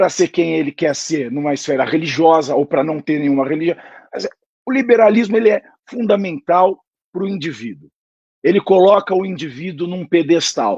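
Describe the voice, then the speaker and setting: A man with a high voice and lively intonation speaks at a moderate pace, the sound dry and close with no echo. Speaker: political commentator. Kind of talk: political discussion. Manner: formal.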